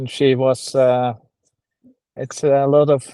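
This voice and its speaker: With a Norwegian accent, a man speaks very slowly in a dark, mellow tone. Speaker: poet. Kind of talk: casual interview. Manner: halting.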